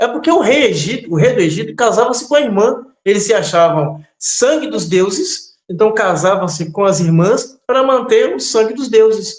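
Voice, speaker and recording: A man talks at a high pitch with very wide pitch swings and hardly any pauses. His moderate pace comes through with audible room echo. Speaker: religious teacher. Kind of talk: interview. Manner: hesitant, many fillers.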